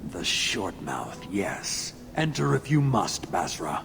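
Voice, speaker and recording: A man performs a put-on character voice. Background noise is clearly audible. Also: fairly low pitch for a man, fairly slow pace. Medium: video game. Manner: curt.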